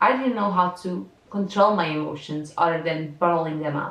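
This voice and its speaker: Over noticeable background noise, someone with a Portuguese accent speaks at a moderate pace with ordinary pitch variation. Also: woman. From Portugal. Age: 20s. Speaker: content creator, university student. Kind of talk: reading aloud personal diary entries.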